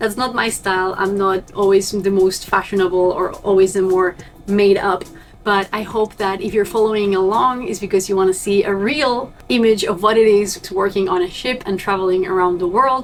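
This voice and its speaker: Music plays in the background as a woman speaks with a Spanish accent at a moderate pace. Her pitch is medium and her intonation fairly even. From Argentina. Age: young. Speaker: vlogger and cruise ship crew member. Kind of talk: vlog talking to camera.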